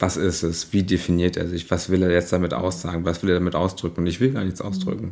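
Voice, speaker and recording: The man's voice is very deep and low, his intonation fairly even. He talks at a very fast pace with hardly any pauses. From rural Germany, small village. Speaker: drag artist. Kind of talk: interview.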